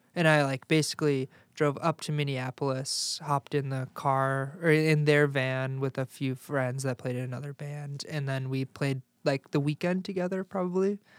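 In a very clean recording with a silent background and a dry, close sound with no echo, a man with an American accent talks at a moderate pace with hardly any pauses, fairly even intonation, a fairly high pitch and a plain, everyday voice. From Chicago suburbs, Illinois. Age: 20s. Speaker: musician and sports reporter. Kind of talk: casual chat.

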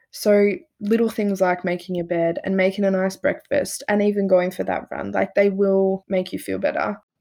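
A woman with an Australian accent talks with hardly any pauses. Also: moderate pace. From rural north-east Victoria, Australia. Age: 20s. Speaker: podcast host, psychology student. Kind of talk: casual chat.

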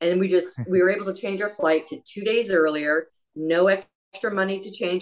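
A woman talks at a moderate pace in a medium pitch. She has an ordinary speaking voice. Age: 50s. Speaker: amateur marathon runner. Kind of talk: casual chat.

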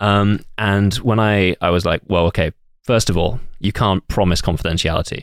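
The recording is dry and close, with no echo. A man with fairly low pitch uses a plain, everyday voice at a moderate pace, his intonation fairly even. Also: very even loudness. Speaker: podcast guest. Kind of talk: casual chat. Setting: studio.

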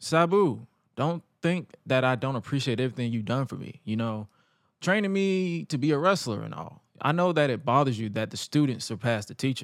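A man's normal speaking voice at a medium pitch and moderate pace, lively in intonation, on a very clean recording with a silent background. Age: 20s. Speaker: podcast host. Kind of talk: wrestling promo, read aloud from a clip of an ECW segment.

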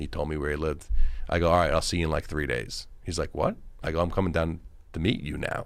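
In a Long Island accent, the speaker talks at a very fast pace with fairly even intonation. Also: man, very deep, low pitch for a man. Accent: New York (Long Island). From Long Island, New York. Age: 50s. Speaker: actor and film director. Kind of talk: casual interview chat.

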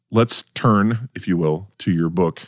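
A man with an American accent speaks at a very slow pace in a very deep, low pitch with ordinary pitch variation. The sound is dry and close, with no echo. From North Dakota, US. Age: 40s. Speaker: podcast host. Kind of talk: casual interview. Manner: halting, many repetitions.

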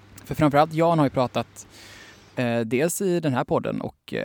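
In a very clean recording with a silent background and a dry, close sound with no echo, a man uses a plain, everyday voice at a moderate pace. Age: 20s. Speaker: journalist and author. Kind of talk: casual interview chat.

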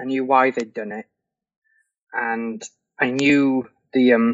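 A man with an English accent, medium in pitch, at a very slow pace. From England. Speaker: fantasy novelist. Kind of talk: interview.

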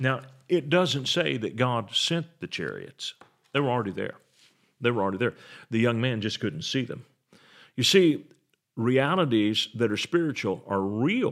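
In a very clean recording with a silent background, a man of medium pitch speaks at a moderate pace with lively intonation, vocal fry and long, frequent pauses. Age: 60s. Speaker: pastor. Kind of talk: sermon.

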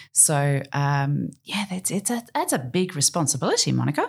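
On a very clean recording with a silent background, a woman with an Australian accent speaks at a moderate pace in a very deep, low pitch. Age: 50s. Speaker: podcast host and marina owner. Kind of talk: casual interview.

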